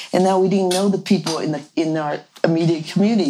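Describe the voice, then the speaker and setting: Through noticeable background noise comes a woman's voice with a fairly low pitch. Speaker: village co-founder. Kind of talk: casual interview.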